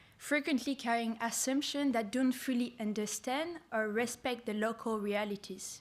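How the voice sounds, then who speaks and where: Speaking in a French accent, a woman keeps a moderate pace. Her pitch is fairly high, with ordinary pitch variation. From France. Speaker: youth program founder. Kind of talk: conference speech.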